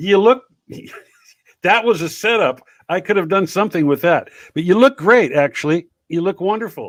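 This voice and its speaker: In a dry, close recording with no echo, a man with a high voice speaks with long, frequent pauses. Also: lively intonation, moderate pace. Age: 60s. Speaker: livestream talk show host. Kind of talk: casual interview chat.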